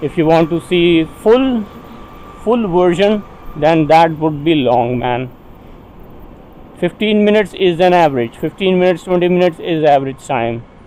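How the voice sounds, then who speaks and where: A man talks at high pitch with lively intonation and a moderate pace, leaving long, frequent pauses. Noticeable background noise runs behind him. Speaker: motovlogger. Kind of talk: casual vlog narration while riding. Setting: riding a motorbike on city roads. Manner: casual, halting.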